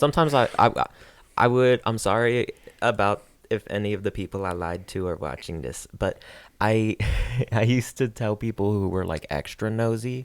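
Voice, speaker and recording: On a very clean recording with a silent background, a man talks at a fairly quick pace. His pitch is fairly low, with ordinary variation. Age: 20s. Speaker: podcast guest. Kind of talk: casual chat.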